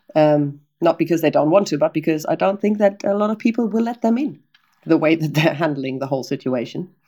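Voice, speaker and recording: A woman with a German accent speaks at a fairly quick pace in a fairly low, dark and mellow voice. Her intonation is lively. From northern Germany, Oldenburg area. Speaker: tour guide. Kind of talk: interview conversation.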